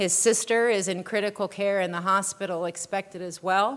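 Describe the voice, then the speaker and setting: Speaking at a fairly slow pace, a woman keeps a medium pitch and a monotone, flat intonation. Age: 40s. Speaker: pastor. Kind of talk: sermon.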